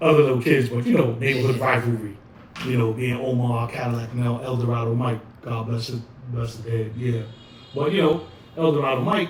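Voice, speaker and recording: A man speaks with a New York accent at a medium pitch and a fairly quick pace. His intonation is fairly even, and there is noticeable background noise. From the Bronx, New York. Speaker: hip hop DJ and dancer. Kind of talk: oral history interview answer. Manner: casual, conversational.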